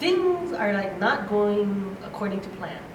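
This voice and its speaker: A woman speaks with lively intonation, her voice carrying audible room echo and noticeable background noise behind it. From Hawaii (Honolulu). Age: 60s. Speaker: conference speaker. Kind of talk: motivational talk.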